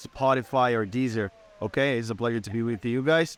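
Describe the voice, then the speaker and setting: Speaking at a moderate pace with a Portuguese accent, a man is recorded with a dry, close sound and no echo. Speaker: podcast host and English teacher. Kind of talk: casual interview.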